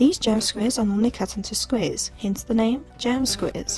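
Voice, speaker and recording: With music in the background, the talking proceeds at a moderate pace. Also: woman. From South Africa. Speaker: home baker, food YouTuber. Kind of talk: cooking tutorial narration.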